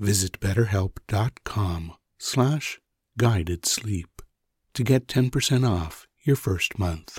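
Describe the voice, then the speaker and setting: A man talks very slowly with lively intonation and a somewhat breathy voice. The sound is dry and close with no echo, on a very clean recording with a silent background. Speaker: meditation guide. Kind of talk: guided sleep meditation. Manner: calm, soft-spoken, reassuring.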